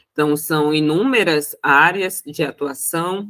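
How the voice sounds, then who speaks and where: A woman speaks with a strong Roraima accent and a bright, sharp tone. Her pitch is very deep and low, with ordinary variation. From Brazil, Roraima. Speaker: accountant and mentor. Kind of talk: panel talk. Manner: hesitant, many fillers.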